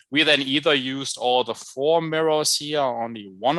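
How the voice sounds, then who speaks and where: Here is a man with a German accent, a fairly high pitch, and a bright, sharp tone. His pitch varies in an ordinary way at a moderate pace, and the background is quiet. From Germany. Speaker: chemistry professor. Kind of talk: lecture. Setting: video call.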